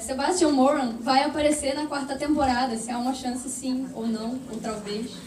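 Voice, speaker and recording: Speech comes at a fairly quick pace with ordinary pitch variation and audible room echo. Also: woman. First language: Portuguese. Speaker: audience member asking a question. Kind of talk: audience question.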